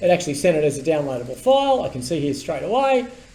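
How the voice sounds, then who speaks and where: The pitch of this man's voice swings very widely. He keeps a fairly quick pace. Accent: Australian. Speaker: tech commentator and business owner. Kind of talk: casual explainer video with screen demo. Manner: animated.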